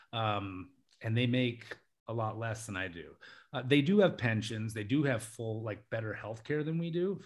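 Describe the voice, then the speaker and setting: A man speaks at a moderate pace with an American accent. His medium-pitched voice is somewhat breathy, with ordinary pitch variation. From US, Alaska. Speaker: international English teacher. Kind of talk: casual chat.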